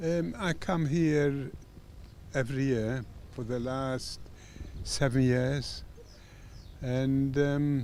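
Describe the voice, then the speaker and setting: Speaking very slowly with long, frequent pauses, a man with a medium-pitched voice and ordinary pitch variation is heard against audible room echo. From Poland. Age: 90s. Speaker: Holocaust survivor. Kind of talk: interview testimony. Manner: halting.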